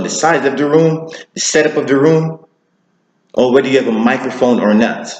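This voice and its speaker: A man speaks fairly quickly, his pitch fairly high, with ordinary pitch variation. Audible room echo surrounds the voice. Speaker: public speaking coach. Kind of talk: tutorial.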